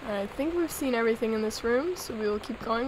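The voice moves at a moderate pace with ordinary pitch variation, and noticeable background noise runs underneath. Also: woman. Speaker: let's play gamer. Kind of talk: casual gameplay commentary.

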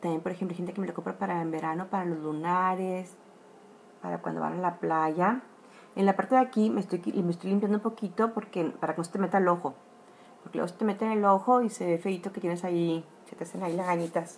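A woman with a fairly low pitch speaks at a very fast pace with fairly even intonation. Light background noise sits behind her voice. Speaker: makeup demonstrator. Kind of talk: tutorial. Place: home room. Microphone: phone near.

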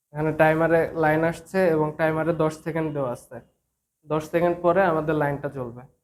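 In a fairly high pitch, a man delivers his words in a monotone, flat intonation. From Bangladesh, Kushtia. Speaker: electrical trainee. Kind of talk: tutorial.

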